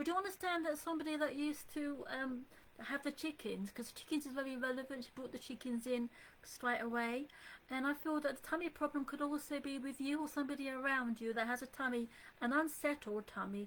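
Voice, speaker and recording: A woman with an English accent talks in a high voice at a fairly quick pace. Her tone is calm, with ordinary pitch variation. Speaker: psychic medium. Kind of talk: live psychic reading. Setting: Facebook live stream from home computer. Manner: soft and calm; hesitant, many fillers.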